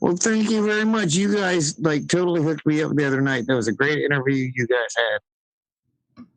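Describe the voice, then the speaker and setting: A man at a fairly quick pace, with fairly high pitch and lively intonation. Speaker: caller. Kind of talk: casual chat. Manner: fast.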